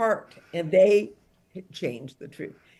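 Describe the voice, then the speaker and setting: A woman talks fairly slowly, with ordinary variation in her pitch. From Detroit, US Midwest. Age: 60s. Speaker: author and songwriter. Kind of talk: book talk interview.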